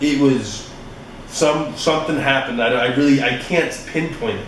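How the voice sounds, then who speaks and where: Noticeable background noise mixes with audible room echo. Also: man. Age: 20s. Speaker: fitness podcast host. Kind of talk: casual solo podcast monologue. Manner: animated.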